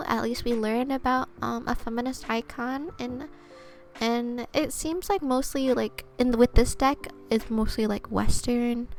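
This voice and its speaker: Over background music, a soft-spoken woman with a high pitch talks at a fairly slow pace. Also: ordinary pitch variation. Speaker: vtuber and twitch streamer doing ASMR. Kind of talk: oracle card reading, soft-spoken ASMR stream. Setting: live stream. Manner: soft-spoken, casual, friendly.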